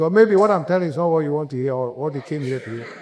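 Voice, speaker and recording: Against a quiet background, a man with a fairly high pitch speaks with a Ghanaian accent. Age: 70s. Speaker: conference speaker, entrepreneur. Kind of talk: motivational talk. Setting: conference stage with audience.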